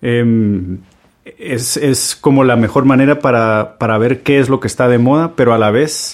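At a fairly slow pace, a man speaks with an unremarkable speaking voice, medium in pitch and ordinary in pitch variation. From Guatemala. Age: 30s. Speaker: chef. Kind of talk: storytelling monologue.

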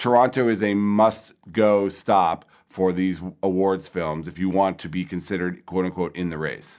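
A man's normal speaking voice, fairly low in pitch, at a moderate pace in a very clean recording with a silent background. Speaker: entertainment magazine editor. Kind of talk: casual discussion. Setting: film festival.

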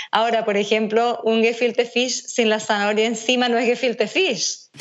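Her fairly high-pitched voice moves at a moderate pace. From Venezuela. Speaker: nutritionist. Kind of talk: casual interview.

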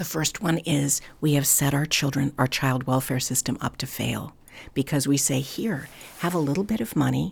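Vocal fry runs through this voice at a moderate pace with ordinary pitch variation. The recording is very clean, with a silent background. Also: woman, very deep, low pitch for a woman. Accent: American. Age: 60s. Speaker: foster care advocate. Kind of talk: interview. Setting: on location.

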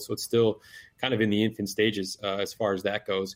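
Fairly quick, monotone speech from a man with an Upper Midwest accent and a fairly low pitch, on a very clean recording with a silent background. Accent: Upper Midwest American. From northern lower Michigan. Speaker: conservation apparel business owner, bowhunter. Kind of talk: casual podcast interview. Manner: hesitant, many fillers.

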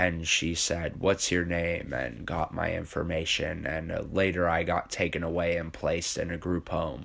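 A man with an American accent speaks at a very deep, low pitch with vocal fry. His intonation stays monotone and flat at a moderate pace. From Vermont, US. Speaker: homeless street poet. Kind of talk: personal life story interview; poetry performance.

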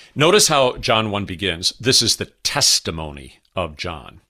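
On a very clean recording with a silent background, a man speaks at a fairly slow pace in a bright, sharp, solemn tone with vocal fry and lively intonation. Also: dry, close sound with no echo. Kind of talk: scripture reading. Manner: slow, steady, solemn, reverent.

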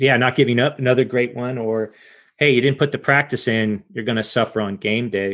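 Speaking fairly quickly in a plain, everyday voice, a man keeps a medium pitch and fairly even intonation. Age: 40s. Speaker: podcast host. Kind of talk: interview. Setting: video call.

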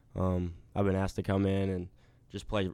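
Delivered at a fairly quick pace, a man's very deep, low voice has a dark, mellow tone and monotone, flat intonation. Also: very clean recording, silent background. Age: young. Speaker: college basketball player. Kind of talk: interview. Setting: coach's office. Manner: halting, many fillers.

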